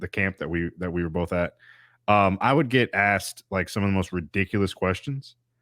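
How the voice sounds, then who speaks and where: On a very clean recording with a silent background, a man with a Southern US accent speaks at a very deep, low pitch, the sound dry and close with no echo. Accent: Southern drawl. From US South, Alabama. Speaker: podcast host and teacher. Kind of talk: casual interview chat.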